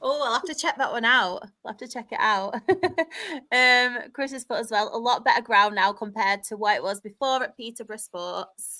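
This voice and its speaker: With a northern English accent, a woman talks at a fairly quick pace in a fairly high, bright, sharp voice. Her pitch varies an ordinary amount while her loudness swings widely, and the recording is very clean with a silent background. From northern England. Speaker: football podcast presenter. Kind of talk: casual chat.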